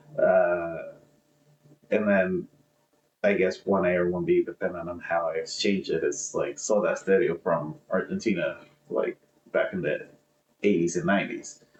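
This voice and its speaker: A man with a Spanish accent, a moderate pace and long, frequent pauses. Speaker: podcast co-host. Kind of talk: casual chat.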